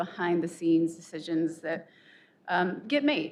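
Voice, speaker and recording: A soft-spoken woman talks at a moderate pace. Her pitch is fairly low. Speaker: faculty senate president, professor. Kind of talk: formal address at faculty meeting.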